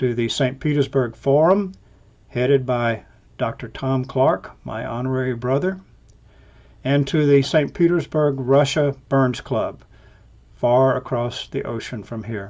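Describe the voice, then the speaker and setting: A man speaks at a medium pitch with an Alabama accent. His pace is fairly slow and his pitch varies in an ordinary way. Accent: US Southern, Alabama. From Alabama, US South. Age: 70s. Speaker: scientist, professor. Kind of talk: recorded toast.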